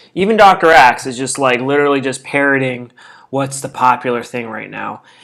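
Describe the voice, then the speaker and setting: A man's fairly high-pitched voice. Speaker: health and nutrition video host. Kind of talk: casual tutorial. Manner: fast; animated.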